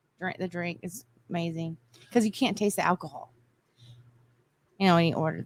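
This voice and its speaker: A woman with an American accent speaks at a fairly low pitch with vocal fry and ordinary pitch variation. Her pace is fairly quick, with long, frequent pauses and big swings in loudness. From Southern Indiana (Vincennes area), US. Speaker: podcast guest. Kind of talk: casual chat.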